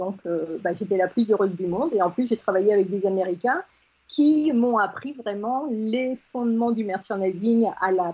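A woman with an unremarkable speaking voice talks at a fairly slow pace, her fairly high pitch moving with ordinary variation. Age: 60s. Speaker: agency founder. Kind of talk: radio interview.

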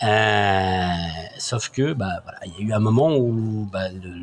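Speech comes at a very slow pace, with ordinary pitch variation. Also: man. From France, Saint-Étienne. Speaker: sales training business owner. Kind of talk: interview, personal testimony. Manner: halting, frequent repetitions.

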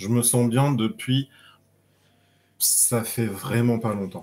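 A man's very slow speech in a monotone, flat intonation. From southern France, Nice. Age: 30s. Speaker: interview guest sharing coming-out story. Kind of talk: casual interview.

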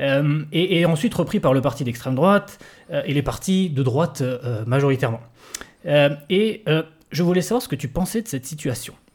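A man with a fairly high voice speaks at a moderate pace with lively intonation. He leaves long, frequent pauses. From southwestern France. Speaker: podcast host. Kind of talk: interview. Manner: halting.

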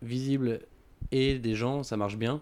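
This man talks with fairly even intonation. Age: 20s. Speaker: entrepreneur. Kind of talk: interview. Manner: hesitant, many fillers.

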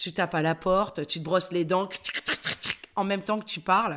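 In a very clean recording with a silent background, a woman talks at a fairly quick pace. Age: 50s. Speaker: actress and voice-over artist. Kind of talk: interview. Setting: at her home.

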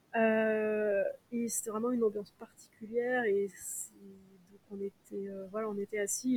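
A woman's fairly high, monotone voice at a fairly slow pace, with big swings in loudness. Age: 30s. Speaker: concert organizer. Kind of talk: casual chat.

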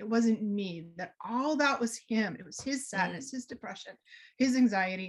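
A woman speaks with an American accent and a fairly high pitch. Her voice is somewhat breathy, with ordinary pitch variation. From US Northeast, Boston area. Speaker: energy healer and author. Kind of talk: podcast interview.

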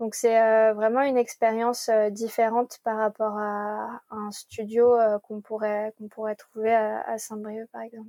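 A woman with a fairly high pitch and a dark, mellow tone speaks at a fairly slow pace with hardly any pauses, in a monotone, flat intonation. Her loudness swings widely, and the sound is dry and close with no echo. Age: 20s. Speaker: environmental engineer and tiny house village founder. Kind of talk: interview. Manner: hesitant with frequent fillers and repetitions.

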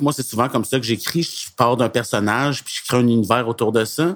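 A man with a Quebec accent speaks at medium pitch with ordinary pitch variation. His pace is fairly quick, with hardly any pauses. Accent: Québécois French. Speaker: author of youth novels. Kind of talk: scripted conversational podcast.

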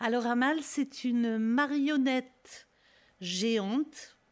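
A woman speaks in a normal speaking voice at a fairly high pitch, with fairly even intonation. The recording is very clean, with a silent background. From Lyon, France (Guillotière). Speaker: singer and refugee-aid activist. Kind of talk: radio interview. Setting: studio.

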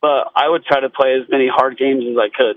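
Using an unremarkable speaking voice, a man with fairly high pitch talks at a moderate pace. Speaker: high school football coach. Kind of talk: radio interview. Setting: phone call.

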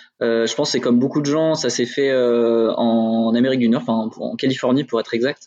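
At a fairly quick pace with hardly any pauses, a man talks in a monotone, flat intonation at medium pitch. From Burgundy, France. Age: 30s. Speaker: brewery co-founder. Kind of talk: casual interview. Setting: in the brewery, remote video call.

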